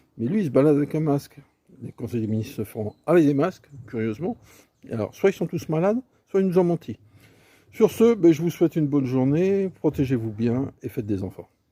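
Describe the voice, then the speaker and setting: In a dry, close sound with no echo, a man talks at a fairly quick pace with a fairly high pitch, a dark, mellow tone and very wide pitch swings. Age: 60s. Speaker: video commentator. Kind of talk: casual monologue commentary. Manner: hesitant, many fillers.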